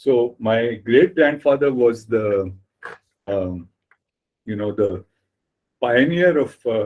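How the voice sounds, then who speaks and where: Long, frequent pauses break up a man's very slow delivery. He has a Marathi accent and lively intonation. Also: medium pitch for a man. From India, Mumbai. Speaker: writer and editor. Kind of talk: interview.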